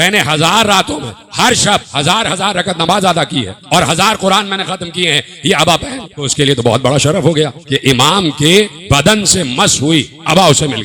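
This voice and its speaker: A fairly slow pace and lively intonation over noticeable background noise. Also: man, high pitch for a man. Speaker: Shia cleric / religious orator. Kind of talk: religious sermon (majlis). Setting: religious gathering with live audience.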